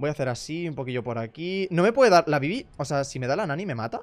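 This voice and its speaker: A man's animated voice with lively intonation. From Spain. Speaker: gaming youtuber. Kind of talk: casual gameplay commentary. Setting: voice chat while gaming. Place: home room. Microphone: headset.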